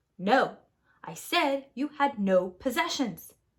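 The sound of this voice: A woman speaks slowly in a put-on character voice with a fairly bright tone and big pitch swings. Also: fairly high pitch for a woman.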